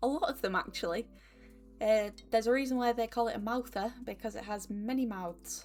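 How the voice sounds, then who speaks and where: With music playing underneath, the speaker uses a Northern English accent, lively intonation, and a moderate pace. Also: woman. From Northern England. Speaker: YouTuber. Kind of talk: casual talk to camera.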